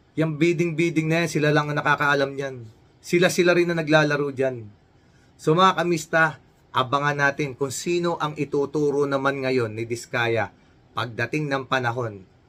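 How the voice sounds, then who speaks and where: The voice has a bright, sharp tone and keeps a moderate pace. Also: man, fairly high pitch for a man, ordinary pitch variation. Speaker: news commentary vlogger. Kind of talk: news reaction commentary.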